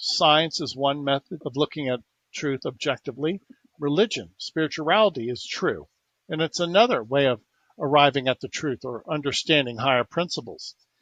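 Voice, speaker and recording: With an unremarkable speaking voice, a man talks at a moderate pace and a fairly high pitch, his pitch varying an ordinary amount. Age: 60s. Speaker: inventor and alternative healer. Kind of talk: interview.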